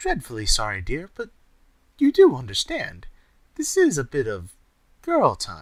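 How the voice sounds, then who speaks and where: A man in a put-on character voice at a moderate pace, with long, frequent pauses. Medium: read story. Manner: crooning, posh.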